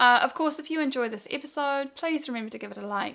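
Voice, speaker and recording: The speaker has a New Zealand accent, lively intonation and a bright, sharp tone at a fairly quick pace. The recording is very clean, with a silent background. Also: woman. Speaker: knitting video podcaster. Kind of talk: casual chat. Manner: chatty, with fillers.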